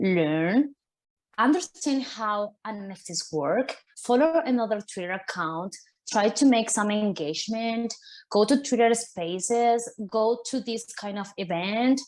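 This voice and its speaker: A woman's fairly high-pitched voice at a fairly slow pace, with lively intonation and big swings in loudness. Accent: Spanish. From Argentina. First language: Spanish. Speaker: artist. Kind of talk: panel talk. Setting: virtual summit video call.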